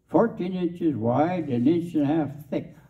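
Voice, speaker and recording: Against a quiet background, a man speaks at a moderate pace with vocal fry. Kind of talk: storytelling talk to an audience. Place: hall.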